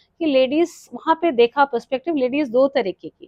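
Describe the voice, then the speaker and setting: A woman's high-pitched voice with a Kumaon accent, ordinary pitch variation and a moderate pace, in a dry, close sound with no echo. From Delhi, India (Kumaoni family from Uttarakhand). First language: Kumaoni (speaking Hindi). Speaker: retired nurse, yoga and mindfulness coach. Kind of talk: podcast interview.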